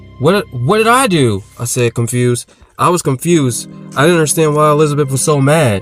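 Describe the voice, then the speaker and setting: With music in the background, a man speaks at a medium pitch and fairly quick pace. His intonation is lively and his loudness very even. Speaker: author and voice actor. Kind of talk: audiobook horror narration.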